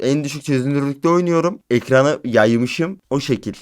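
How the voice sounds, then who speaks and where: In a very clean recording with a silent background, a man talks at a moderate pace and medium pitch with ordinary pitch variation. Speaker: gaming YouTuber. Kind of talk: casual vlog monologue. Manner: animated.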